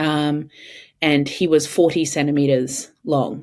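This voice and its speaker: This woman has a very deep, low pitch and an Australian accent, with ordinary pitch variation. The recording is very clean, with a silent background. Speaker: mother of three. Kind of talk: podcast interview answer. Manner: hesitant, many fillers.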